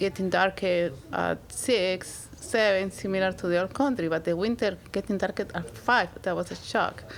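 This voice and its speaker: A woman with a Spanish accent talks at a fairly slow pace and medium pitch, with ordinary pitch variation. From Peru. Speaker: immigrant guest. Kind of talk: casual conversation. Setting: library.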